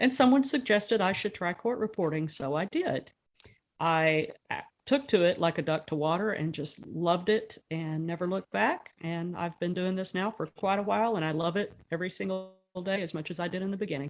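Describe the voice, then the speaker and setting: This woman has a normal speaking voice and an American accent. Her medium pitch shows ordinary variation at a fairly quick pace. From West Texas, Midland. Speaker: court reporter. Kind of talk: podcast interview.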